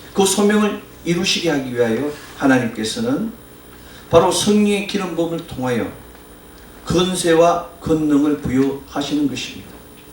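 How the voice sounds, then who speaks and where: A high-pitched man with lively intonation and long, frequent pauses, amid noticeable background noise and audible room echo. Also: moderate pace. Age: 50s. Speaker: pastor. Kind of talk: sermon.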